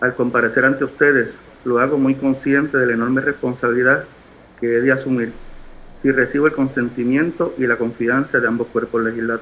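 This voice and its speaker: At a fairly quick pace, a man speaks at a medium pitch in a monotone with flat intonation. His loudness stays very even. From Puerto Rico, San Juan. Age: 50s. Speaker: nominee at senate hearing. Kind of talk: formal testimony. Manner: formal.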